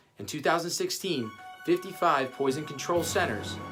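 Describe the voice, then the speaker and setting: A man talks at a moderate pace over music in the background. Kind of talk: informational infomercial presentation. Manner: casual, explanatory.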